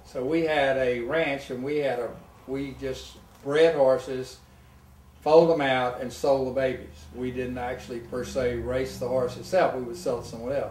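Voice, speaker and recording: At a moderate pace, a man speaks at a medium pitch with fairly even intonation amid audible room echo. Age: 70s. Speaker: retired tennis pro and golfer. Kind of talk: casual interview.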